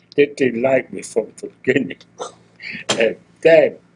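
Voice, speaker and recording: The speaker is a man with a German accent. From Germany. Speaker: retired toolmaker. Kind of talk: oral history interview. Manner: halting.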